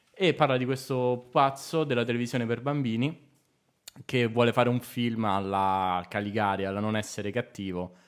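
The background is quiet as a man speaks at a moderate pace. His pitch variation is ordinary. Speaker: comedy writer; podcast guest. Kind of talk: casual chat. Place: studio. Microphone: studio mic.

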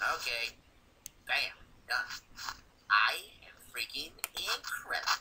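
A raspy, put-on character voice. It moves at a fairly slow pace with long, frequent pauses. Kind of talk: fan reading of a comic chat log. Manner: cocky, irritable, brash.

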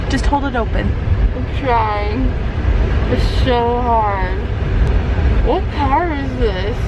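A drawling voice comes through over loud background noise. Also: woman. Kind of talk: casual vlog chat. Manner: sleepy, slurred, drugged drawl. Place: car. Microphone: phone near.

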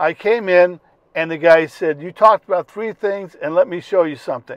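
The recording is dry, with no echo, over a quiet background. A man speaks at a moderate pace. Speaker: car owner vlogger. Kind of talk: casual vlog chat. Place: car. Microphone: lapel.

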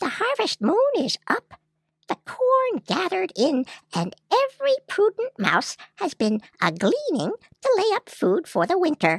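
An extremely high-pitched, put-on character voice. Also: fairly slow pace. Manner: brisk, practical.

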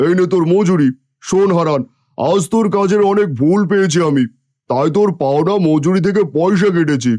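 At a moderate pace, a man performs a cartoonish character voice with a high pitch. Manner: domineering, scornful.

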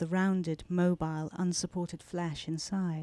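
A woman with a British accent, flat monotone intonation and a dark, mellow, calm tone, in a dry sound with no echo and a quiet background. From England. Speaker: novelist. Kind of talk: author talk and reading aloud from her novel. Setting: bookstore stage with audience and microphone. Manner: measured, expressive storyteller reading with calm pacing. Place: shop. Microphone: handheld.

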